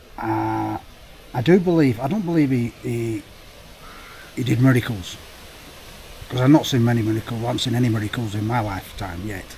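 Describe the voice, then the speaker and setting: Speaking at a fairly quick pace with long, frequent pauses, a man with a Lancashire accent uses a medium pitch and ordinary pitch variation against noticeable background noise. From North West England. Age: 50s. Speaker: motorcycle vlogger. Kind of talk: casual talk to camera while riding. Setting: outdoors, on a motorcycle.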